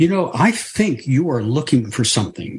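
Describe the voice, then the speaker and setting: Putting on a character voice with a British accent, a man talks at a moderate pace in a fairly high pitch with very wide swings. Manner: piercing, knowing.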